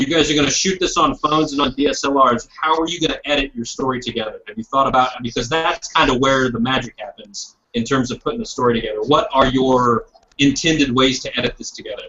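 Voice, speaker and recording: Someone speaks at a very fast pace with an American accent. There are hardly any pauses. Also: man, fairly high pitch for a man, ordinary pitch variation. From Indiana, US Midwest. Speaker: videographer. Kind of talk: guest talk in online class. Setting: video call.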